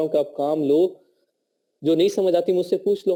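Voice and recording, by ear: This man's voice is fairly high in pitch, with a dark, mellow tone. His pitch varies in an ordinary way.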